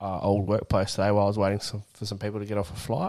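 With an Australian accent, a man talks at a fairly low pitch. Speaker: podcast co-host. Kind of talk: casual chat. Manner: animated.

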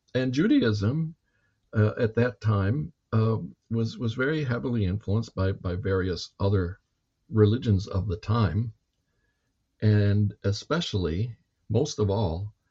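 A somewhat breathy man's voice at a fairly low pitch. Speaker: history professor. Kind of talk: lecture-style conversation. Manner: explanatory, professorial.

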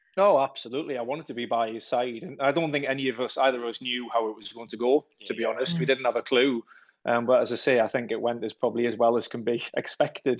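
A man speaks with a slight Geordie accent. His pace is very fast. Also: medium pitch for a man, ordinary pitch variation. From Wallsend, Newcastle, north-east England. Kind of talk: casual radio interview.

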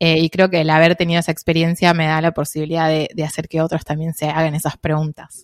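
A woman rattles off words at a very fast pace in an Argentine accent, fairly low and monotone, with hardly any pauses and a dry, close sound with no echo. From Argentina. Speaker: traveller and content creator. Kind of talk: casual interview.

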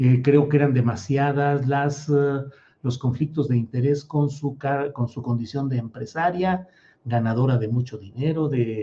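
Somewhat breathy and dark, mellow in tone, a man talks at a moderate pace and medium pitch with ordinary pitch variation. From Mexico, Torreón, raised in San Luis Potosí. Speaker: political journalist and show host. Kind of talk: live political commentary show. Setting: live stream.

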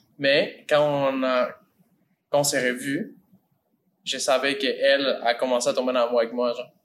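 A man's fairly high voice, fairly slow and monotone, flat in intonation, with long, frequent pauses. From Mexico. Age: 20s. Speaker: acting student. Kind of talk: casual chat.

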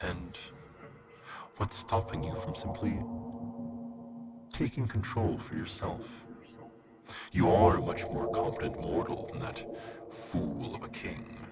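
Over loud background noise, a man at a medium pitch does a put-on character voice at a fairly slow pace. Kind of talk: archaic theatrical villain speech. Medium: audio drama. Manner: silky, tempting, later grandly menacing.

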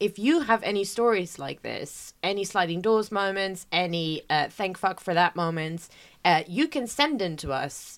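A woman at medium pitch and moderate pace, with lively intonation and an ordinary speaking voice, on a very clean recording with a silent background. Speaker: podcast co-host. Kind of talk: casual chat.

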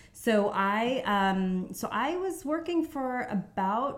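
A woman with a New York accent. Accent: New York American. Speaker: stay-at-home mother. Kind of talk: casual interview chat.

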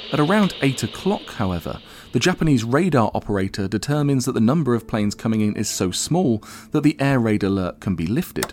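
A man at medium pitch, talking at a very fast pace with very wide pitch swings, music in the background. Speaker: history podcast host. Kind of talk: interview with scripted narration.

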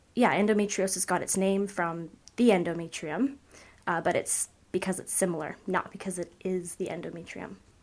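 A woman with an unremarkable speaking voice, medium pitch, moderate pace and fairly even intonation. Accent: Canadian. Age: 20s. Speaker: patient advocate. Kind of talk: casual interview chat.

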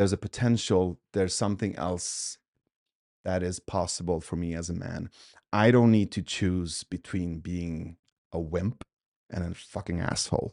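Over a quiet background, a man with a very deep, low pitch and a dark, mellow tone speaks at a moderate pace with fairly even intonation, the sound dry and close with no echo. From Sweden. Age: 40s. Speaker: coach and podcaster. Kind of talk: casual interview.

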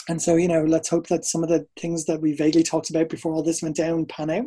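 A man with an Irish accent, very fast pace, fairly high pitch and dark, mellow tone. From Ireland, Dublin. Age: 30s. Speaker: dancer and choreographer. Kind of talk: casual chat.

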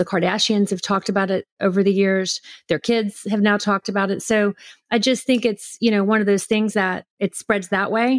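A woman with an American accent speaks in a monotone at medium pitch, her loudness very even. The recording is very clean and dry, with a close sound, no echo and a silent background. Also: moderate pace. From Houston, Texas. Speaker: brand founder. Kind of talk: casual interview chat.

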